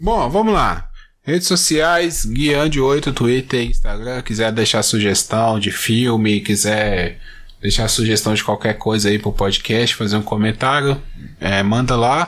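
An ordinary speaking voice, at a fairly slow pace with ordinary pitch variation and very even loudness. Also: man, medium pitch for a man. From Brazil. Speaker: podcast host. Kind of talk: casual chat.

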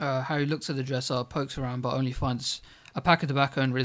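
The reading voice here is unforced.

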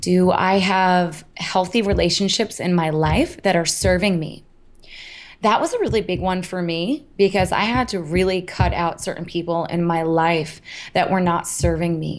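A woman speaks with an American accent in an ordinary speaking voice. She goes at a fairly slow pace with fairly low pitch and fairly even intonation. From US Northeast, Hudson Valley, New York. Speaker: health coach and motivational speaker. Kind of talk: interview.

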